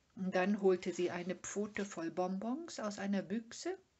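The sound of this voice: The reading voice heard here is unforced.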